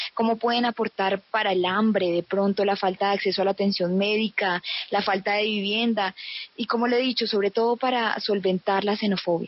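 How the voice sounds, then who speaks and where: A woman's medium-pitched voice at a fairly quick pace, in a monotone, flat intonation with very even loudness. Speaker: student radio host. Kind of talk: radio interview.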